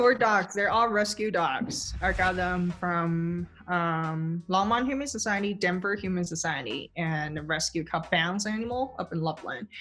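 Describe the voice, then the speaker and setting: Speaking at a moderate pace with hardly any pauses, a woman with a slight Chinese accent keeps a medium pitch and ordinary pitch variation. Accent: slight Chinese accent, barely audible. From southern China, near Hong Kong. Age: 30s. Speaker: gym member. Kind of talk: interview.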